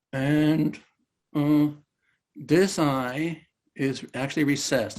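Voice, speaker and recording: A man's fairly high voice with ordinary pitch variation, set against music in the background. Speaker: therapist and trainer. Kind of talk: online talk presentation.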